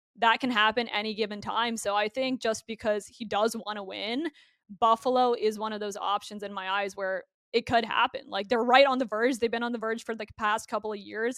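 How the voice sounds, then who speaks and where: The delivery is fairly quick, in an Ontario accent, with monotone, flat intonation. The sound is dry and close, with no echo. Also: woman. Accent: Canadian (Ontario). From Canada, Burlington near Toronto, Ontario. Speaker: hockey broadcaster. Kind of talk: casual interview.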